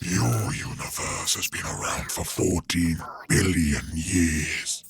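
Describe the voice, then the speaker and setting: A put-on character voice, growling and menacing in tone, at a very slow pace. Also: man. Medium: read story. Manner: cold, slow, menacing.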